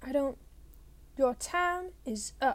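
A woman puts on a hissing, high-pitched character voice.

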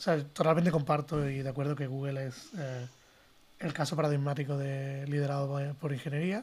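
Somewhat breathy and fairly high-pitched, a man speaks at a moderate pace with fairly even intonation on a very clean recording with a silent background. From Spain. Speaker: design director. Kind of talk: casual panel discussion.

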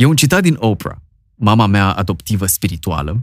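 A man with a fairly low voice swings his pitch very widely, on a very clean recording with a silent background. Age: 40s. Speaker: podcast host. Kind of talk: casual chat.

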